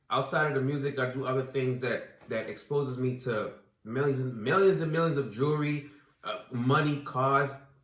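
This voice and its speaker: A man with an American accent speaks at a moderate pace in a fairly high pitch for a man, his intonation fairly even, with audible room echo. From US Virgin Islands, Saint Croix. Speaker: recording artist. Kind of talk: casual chat.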